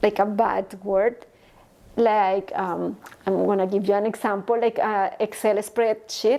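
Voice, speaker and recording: Speaking slowly, a woman with a Spanish accent has a dark, mellow tone. Her pitch is medium, and her intonation is monotone and flat. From Colombia, Bogota. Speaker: engineer and entrepreneur. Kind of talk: interview. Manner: halting.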